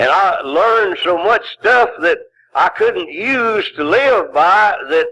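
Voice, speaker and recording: In an American accent, a raised, projected voice with a bright, sharp tone moves at a very slow pace, with very wide pitch swings and very even loudness. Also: man, extremely high pitch for a man. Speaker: recovering alcoholic, twelve-step speaker. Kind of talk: recovery meeting talk. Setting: old cassette recording with hum. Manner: humorous.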